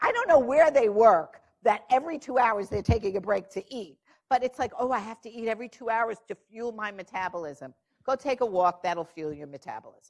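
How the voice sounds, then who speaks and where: A woman in a New York accent sounds animated, talking at a fairly quick pace with very wide pitch swings and big swings in loudness. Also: fairly high pitch for a woman. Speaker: diabetes clinician speaker. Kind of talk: conference panel talk.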